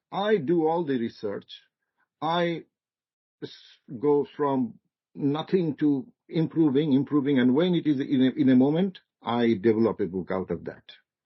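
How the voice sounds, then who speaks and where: A man's fairly high voice with a non-native accent, lively intonation, a moderate pace and long, frequent pauses. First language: not English. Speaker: marketing lecturer, guest speaker. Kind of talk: seminar discussion. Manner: halting, repetitive starts.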